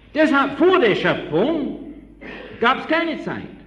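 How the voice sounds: Recorded with audible room echo, a man speaks slowly at an extremely high pitch, with big pitch swings and a fairly bright tone.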